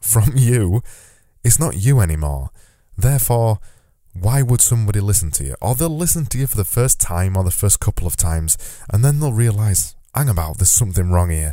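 A man talks at a fairly quick pace in a fairly low, dark, mellow voice, his pitch swinging very widely. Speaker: podcast host. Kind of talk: solo podcast monologue. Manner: casual, conversational.

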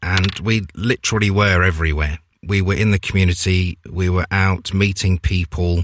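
Very deep and low in pitch, a man speaks at a moderate pace with an East Midlands accent and fairly even intonation. The recording is very clean, with a silent background and a dry, close sound with no echo. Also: very even loudness. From Leicester, England. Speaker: radio presenter. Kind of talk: casual chat.

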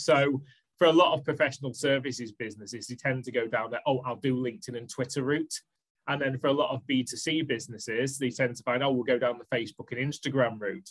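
In a Manchester accent, a man talks at a very fast pace with a medium pitch. His voice is somewhat breathy and his intonation fairly even. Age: 40s. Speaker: social media marketing business owner. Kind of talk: podcast interview.

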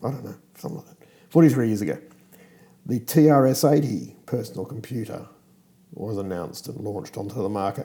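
With an Australian accent, a man speaks in a dark, mellow tone with vocal fry and lively intonation. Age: 50s. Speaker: podcast host. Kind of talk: casual chat. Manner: hesitant with fillers.

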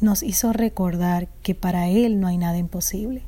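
Her tone is dark and mellow, somewhat breathy. This woman keeps her intonation fairly even. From Dominican Republic. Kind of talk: testimony. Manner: halting.

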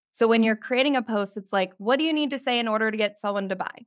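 A woman talks in a fairly high voice with ordinary pitch variation. The recording is very clean, with a silent background. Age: 30s. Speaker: business coach. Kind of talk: casual chat. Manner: animated.

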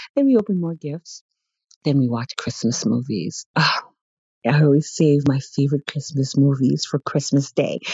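A woman with an American accent talks at a moderate pace, very deep and low in pitch. Her voice is somewhat breathy, with ordinary pitch variation. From Brooklyn, New York. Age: 40s. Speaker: sewing community member. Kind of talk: personal narrative.

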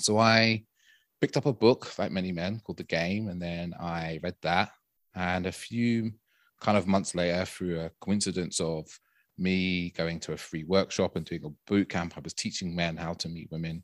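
This very clean recording over a silent background has a dry, close sound with no echo, as a man with a very deep, low pitch talks at a moderate pace with fairly even intonation. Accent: London. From London, England. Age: 30s. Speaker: dating and intimacy coach. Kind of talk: casual interview.

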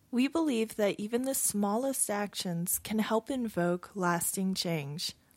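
A woman with an ordinary speaking voice talks at medium pitch and a fairly slow pace, her intonation lively and her loudness very even. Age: 30s. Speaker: podcast co-host. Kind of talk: casual chat; scripted narration.

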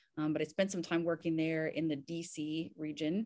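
At a fairly quick pace, a woman talks in a fairly low pitch against a quiet background. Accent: Southern US. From US South, Kentucky and Indiana. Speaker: physician and army veteran. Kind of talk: interview.

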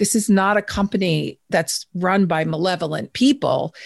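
In a plain, everyday voice, a woman with an American accent speaks at medium pitch and a moderate pace with ordinary pitch variation, in a dry, close sound with no echo. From New York. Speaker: author and virtual work expert. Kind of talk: interview.

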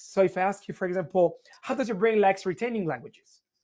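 Quiet surrounds the recording. The man's pitch is high. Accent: Italian. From Italy. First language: Italian. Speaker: learning techniques instructor. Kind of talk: interview.

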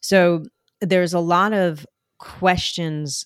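Recorded very cleanly against a silent background, a woman speaks with a New Jersey accent in a dry, close sound with no echo. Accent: New Jersey American. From New Jersey, US; born in Colombia. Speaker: international adoptee sharing her life story. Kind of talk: interview conversation. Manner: talkative, animated storyteller.

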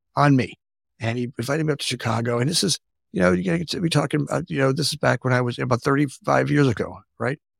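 A man with an American accent and vocal fry, fairly high-pitched for a man, talking at a very fast pace with lively intonation, in a very clean recording with a silent background and a dry, close sound with no echo. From South Florida. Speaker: construction company founder. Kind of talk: interview.

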